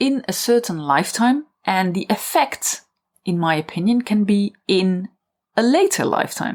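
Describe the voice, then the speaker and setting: Speaking with a plain, everyday voice, a woman uses lively intonation at a fairly slow pace. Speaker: podcast host and writer. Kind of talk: solo podcast monologue.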